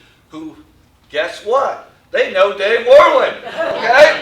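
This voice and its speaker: Noticeable background noise and audible room echo surround the man's voice. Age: 60s. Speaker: former coach speaking at tribute. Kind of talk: tribute speech.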